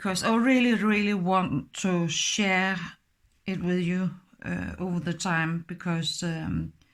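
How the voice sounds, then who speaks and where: A woman speaks with a Danish accent at a very slow pace, her intonation fairly even. The recording is very clean, with a silent background. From Denmark. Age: 50s. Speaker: crafts tutorial maker. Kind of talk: tutorial. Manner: halting.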